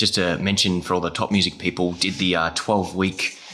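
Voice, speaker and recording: A man with a very deep, low pitch speaks in a bright, sharp tone with monotone, flat intonation. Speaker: podcast host, music teaching educator. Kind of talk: casual interview chat.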